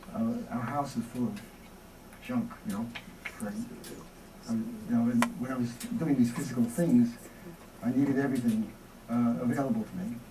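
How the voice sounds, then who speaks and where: A man with a New York accent talks at a moderate pace and medium pitch, with ordinary pitch variation and long, frequent pauses. Music plays in the background, and the room has audible echo. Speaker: experimental filmmaker. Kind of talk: Q&A after a lecture. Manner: halting.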